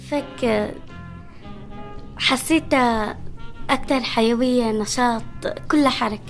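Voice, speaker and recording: A woman's high-pitched voice with a Damascus accent at a very slow pace, with long, frequent pauses and music in the background. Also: fairly even intonation. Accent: Levantine Arabic (Damascus). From Syria (Damascus). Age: young. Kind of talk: interview answer.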